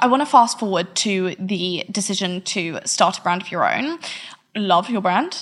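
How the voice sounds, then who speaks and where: A woman speaks at a moderate pace and a medium pitch, with ordinary pitch variation and noticeable background noise. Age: 20s. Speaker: podcast host. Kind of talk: scripted narration; interview.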